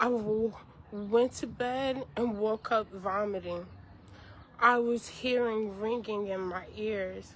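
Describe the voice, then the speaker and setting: Fairly even intonation carries this very slowly paced speech. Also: woman, fairly high pitch for a woman. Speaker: chef and content creator. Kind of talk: personal video update. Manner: halting, speech impediment after brain injury; struggles to finish sentences.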